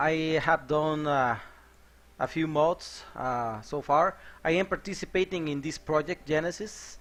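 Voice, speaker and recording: Spoken with a Mexican accent and ordinary pitch variation, the clip is very clean, with a silent background. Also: man. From Mexico. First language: Spanish. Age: 30s. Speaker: software developer and game modder streaming. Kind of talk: live coding stream. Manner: hesitant with frequent fillers.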